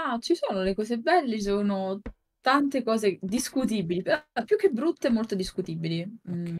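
A woman's fairly high, somewhat breathy voice with lively intonation at a moderate pace, over light background noise. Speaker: digital artist and streamer; streamer. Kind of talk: casual chat. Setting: live stream. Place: home room.

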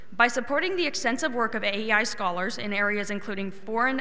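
Here a woman speaks at a fairly quick pace. Her pitch is fairly high, with ordinary pitch variation. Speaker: student panel moderator. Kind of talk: panel moderation. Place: hall. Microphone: podium.

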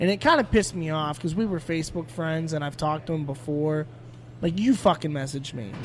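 A man has an unremarkable speaking voice with an American accent and a fairly high pitch. His pitch varies in an ordinary way. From Pittsburgh, Pennsylvania. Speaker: stand-up comedian. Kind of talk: casual chat. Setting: studio.

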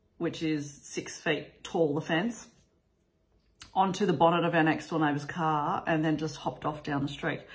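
Over a quiet background, a woman with a very deep, low pitch talks in a somewhat breathy voice and fairly even intonation. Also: moderate pace. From Australia. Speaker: vlogger; family vlogger. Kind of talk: casual vlog talk. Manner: casual, with frequent fillers. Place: home room. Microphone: phone near.

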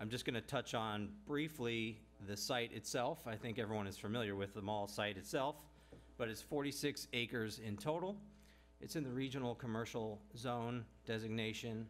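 Delivered at a moderate pace with ordinary pitch variation, the speech has music in the background. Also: man. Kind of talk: staff report presentation. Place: hall. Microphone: podium.

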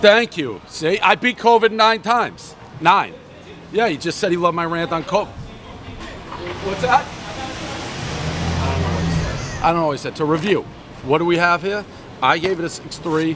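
A man speaks at a moderate pace with ordinary pitch variation. He leaves long, frequent pauses while crowd noise sounds in the background. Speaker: pizza reviewer host. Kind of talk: casual street banter. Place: street.

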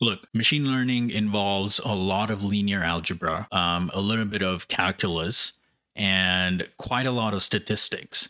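A man speaks with hardly any pauses, pitched fairly low. His intonation stays fairly even. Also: moderate pace, quiet background. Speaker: YouTube educator on machine learning. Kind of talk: opinionated rant to camera about why math matters. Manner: emphatic, insistent; conversational, repeatedly addressing viewers. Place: home room. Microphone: studio mic.

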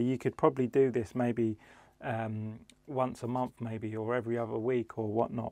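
Dry sound with no echo, a quiet background, and a man's moderate pace. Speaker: DJ product reviewer. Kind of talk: product review vlog. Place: studio. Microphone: lapel.

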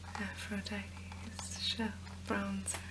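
Over loud background noise, a soft-spoken voice moves at a very slow pace. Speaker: beauty vlogger. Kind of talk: product haul presentation. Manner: soft-spoken ASMR murmur.

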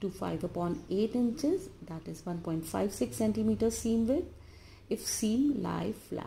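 A woman with an Indian accent speaks at a very slow pace over light background noise. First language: Hindi. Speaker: college lecturer. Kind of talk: lecture. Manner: halting, many filler uh's. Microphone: phone near.

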